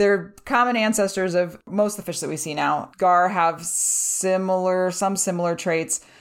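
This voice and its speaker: With an ordinary speaking voice, a woman at medium pitch talks at a moderate pace with fairly even intonation and hardly any pauses, on a very clean recording with a silent background. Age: 40s. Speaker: fish biologist. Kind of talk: casual chat.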